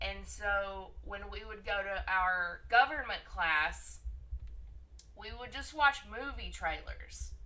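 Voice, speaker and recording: Within audible room echo, a woman speaks at a very slow pace with big swings in loudness. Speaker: friend joining the stream. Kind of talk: casual storytelling.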